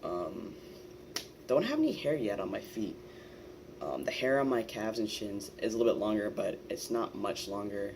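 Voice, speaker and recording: Amid audible room echo, a man speaks with long, frequent pauses. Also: moderate pace. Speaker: transgender vlogger. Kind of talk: casual vlog monologue. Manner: casual, many fillers.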